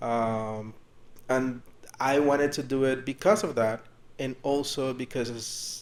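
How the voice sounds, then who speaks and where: A man with a Spanish accent speaks at a very slow pace in a monotone, flat intonation. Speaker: podcast co-host, hotel worker. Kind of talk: casual chat.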